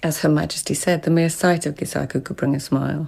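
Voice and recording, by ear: A woman's put-on character voice, low-pitched and fast, with fairly even intonation, a slightly mellow tone, a slightly husky edge and vocal fry.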